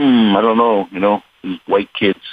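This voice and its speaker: A man speaks at a moderate pace. He has a New England accent. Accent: New England American. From New England, Rhode Island/Connecticut. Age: 60s. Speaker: blues singer and harmonica player. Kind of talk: radio interview.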